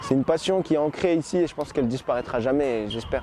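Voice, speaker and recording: The speech moves at a fairly quick pace with ordinary pitch variation, and noticeable background noise sits behind it. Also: man. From Paris, France. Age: 20s. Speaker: football ultra supporter. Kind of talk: interview.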